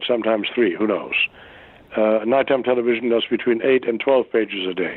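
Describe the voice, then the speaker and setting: A man with a German accent speaks at a fairly quick pace in a passionate tone, his loudness very even and his intonation fairly even. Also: medium pitch for a man. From Germany. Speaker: actor. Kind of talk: interview answer.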